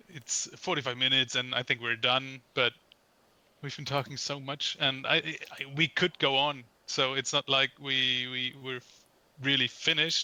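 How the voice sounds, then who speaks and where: A man talks at a moderate pace with a medium pitch. His intonation is flat and monotone. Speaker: podcast co-host, composer. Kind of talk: casual chat. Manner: halting. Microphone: poor sound quality.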